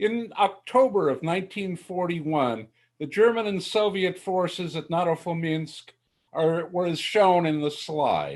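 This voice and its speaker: High male pitch, ordinary pitch variation, and a fairly slow pace from a man. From USA. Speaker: military historian. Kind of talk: lecture.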